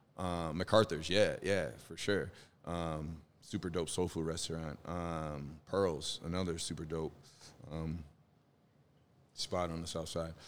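With an American accent, a man speaks at a fairly slow pace in a very deep, low pitch, in a monotone, flat intonation with long, frequent pauses, on a very clean recording with a silent background. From Chicago. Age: 40s. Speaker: rapper. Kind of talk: casual chat. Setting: studio.

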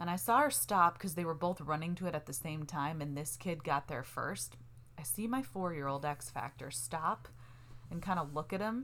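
At a moderate pace, a woman speaks with a very deep, low pitch, lively intonation and vocal fry. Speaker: podcast co-host. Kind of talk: casual banter between partners. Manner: calmer, stays in a lower pitch range.

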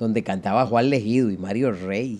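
With a Costa Rican accent, a man speaks in a dark, mellow tone. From Costa Rica, San José area. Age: 60s. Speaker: accordion player. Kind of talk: interview.

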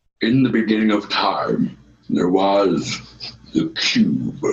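A man uses a put-on character voice at a medium pitch and a very slow pace. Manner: solemn, narrating.

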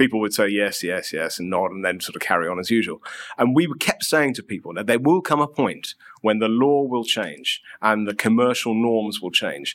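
A normal speaking voice moves at a moderate pace. The intonation is lively. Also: man, medium pitch for a man. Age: 40s. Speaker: sustainability and human rights director. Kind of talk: interview.

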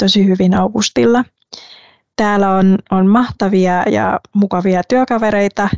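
A woman speaks at a very slow pace with a Vietnamese accent. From Vietnam, coastal city. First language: Vietnamese (speaking Finnish). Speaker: management consultant. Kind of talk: interview. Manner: hesitant, with fillers.

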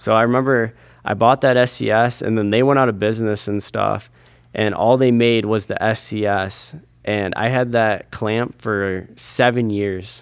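A man with a normal speaking voice talks at a moderate pace and medium pitch. His intonation stays fairly even. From US Midwest, Michigan. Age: 20s. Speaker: pro scooter rider. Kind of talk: casual interview chat.

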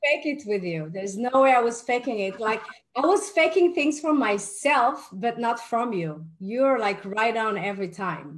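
A woman with an American accent talks at a moderate pace in a fairly high voice that makes very wide pitch swings. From New York. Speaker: live talk series host. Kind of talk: live online talk, interview. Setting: video call with online audience. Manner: enthusiastic, hesitant with fillers.

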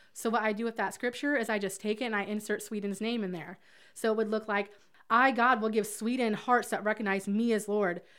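In a Southern US accent, a woman talks at a fairly quick pace. Her pitch is fairly high and her intonation monotone and flat. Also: very clean recording, silent background. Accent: Southern American. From US South, Alabama. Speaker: ministry leader. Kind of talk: interview about faith.

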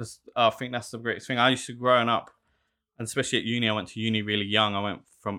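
A man with a South London accent, fairly low pitch, monotone, flat intonation and a very fast pace. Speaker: shoemaker and small business owner. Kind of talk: casual interview chat. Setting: studio.

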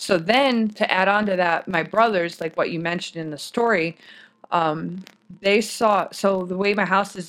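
A plain, everyday voice, a woman with an American accent, medium pitch, ordinary pitch variation and a moderate pace. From US Midwest, Michigan (Durand). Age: 30s. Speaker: army chaplain assistant. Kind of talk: storytelling. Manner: casual, rambling with fillers.

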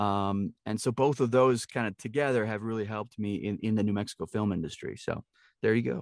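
In a very clean recording with a silent background and a dry, close sound with no echo, a man talks at a fairly quick pace, his pitch fairly low and his pitch variation ordinary. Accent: American. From Milwaukee, Wisconsin. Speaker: actor and voice actor. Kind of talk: casual interview chat.

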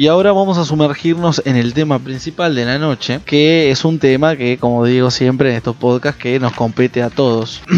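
A man's medium-pitched voice with ordinary pitch variation, moderate pace and hardly any pauses, music playing in the background. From Uruguay. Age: 20s. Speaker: podcast host. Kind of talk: casual chat.

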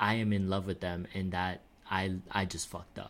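Here is a man with a fairly low pitch. It's an ordinary speaking voice. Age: 20s. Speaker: podcast host. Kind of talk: casual chat.

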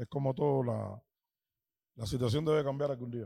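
A man speaks at medium pitch and a moderate pace, with ordinary pitch variation. His tone is dark and mellow, with vocal fry.

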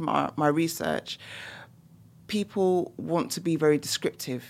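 With lively intonation, a woman in a London accent talks at a moderate pace. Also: very clean recording, silent background. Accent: London British English. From London, England. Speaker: professor and musicologist. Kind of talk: casual interview. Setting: studio.

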